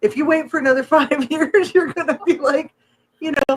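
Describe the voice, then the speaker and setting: The recording of this woman is dry and close, with no echo. She speaks at a moderate pace. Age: 50s. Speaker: podcast co-host. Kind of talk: casual chat.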